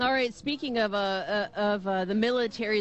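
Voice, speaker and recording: A plain, everyday voice from a woman, at a middling tempo with typical pitch movement. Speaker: radio host. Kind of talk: radio talk show hosting.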